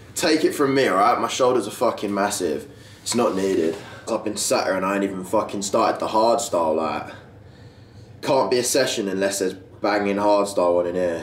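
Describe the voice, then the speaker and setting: The speech comes at a fairly quick pace with ordinary pitch variation, over light background noise and audible room echo. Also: man. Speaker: fitness vlogger. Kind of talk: casual vlog chat. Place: garage. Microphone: camera far.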